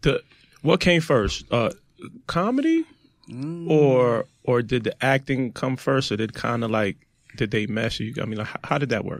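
Heard in a dry, close sound with no echo, the voice speaks with a Brooklyn accent at a moderate pace, with ordinary pitch variation. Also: man, medium pitch for a man. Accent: New York (Brooklyn). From Brooklyn, New York. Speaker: podcast host. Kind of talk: casual chat.

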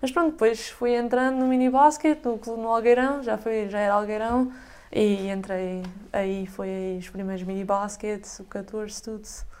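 A woman with an ordinary speaking voice, fairly high pitch, a moderate pace and big swings in loudness. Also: ordinary pitch variation. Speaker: basketball player. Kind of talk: casual chat.

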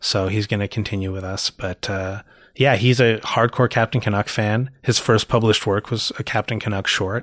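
A man speaks in a normal speaking voice at a fairly low pitch and a moderate pace. His intonation is fairly even, and the sound is dry and close with no echo. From Canada, Toronto. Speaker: comic book writer and artist. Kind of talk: casual interview.

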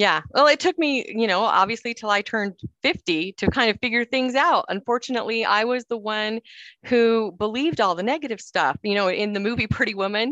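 In a bright, sharp tone, a woman with an American accent talks at a fairly quick pace with lively intonation and a fairly high pitch. The sound is dry and close with no echo, over a quiet background. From Cedar City, southern Utah. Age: 50s. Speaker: author and former TV journalist. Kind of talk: interview.

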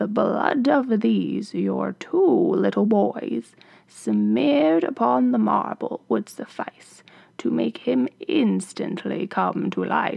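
Very slow in pace, a man talks with fairly high pitch. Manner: grave, solemn.

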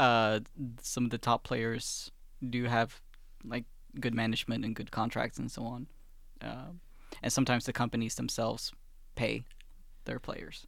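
A man with a medium-pitched voice speaks at a moderate pace, pausing long and often, with vocal fry and flat, monotone intonation. The recording is very clean, with a silent background. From Sweden, Finnish parents. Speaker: student radio board chairman. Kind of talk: casual chat.

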